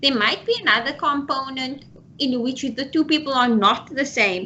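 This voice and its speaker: Her voice sits high and carries lively intonation at a moderate pace. The woman's speech has audible room echo. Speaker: psychologist. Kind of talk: lecture. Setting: webinar video call.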